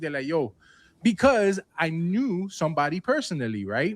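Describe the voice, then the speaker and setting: Recorded very cleanly against a silent background, a man speaks at a high pitch. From Cuban-American. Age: 40s. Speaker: sneaker YouTuber. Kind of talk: heated debate. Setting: stage with panel. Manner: animated.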